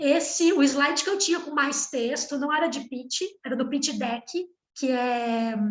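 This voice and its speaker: Audible room echo surrounds a woman speaking at a fairly slow pace and a high pitch. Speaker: startup founder and pitch trainer. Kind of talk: workshop talk.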